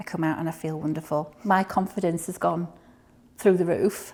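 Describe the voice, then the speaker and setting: In a very clean recording with a silent background, a woman speaks at a moderate pace with a Highland Scottish accent. Her fairly low pitch stays monotone and flat. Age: 60s. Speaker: cancer patient. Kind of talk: testimony.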